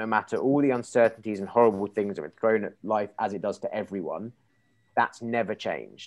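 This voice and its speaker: Speaking in an English accent at a moderate pace, a man uses ordinary pitch variation against a quiet background. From England. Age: 30s. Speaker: marketing agency founder; podcast guest. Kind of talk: interview. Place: kitchen. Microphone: earbuds.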